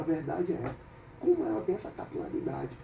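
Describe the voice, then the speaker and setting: Fairly quick male speech with noticeable background noise. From Brazil, Salvador (Bahia). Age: 50s. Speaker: capoeira master. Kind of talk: radio interview. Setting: radio studio.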